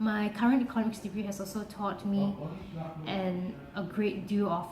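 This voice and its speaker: In a room with audible echo and noticeable background noise, a woman speaks at a medium pitch. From Singapore. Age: 20s. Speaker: university student. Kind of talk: application video self-presentation.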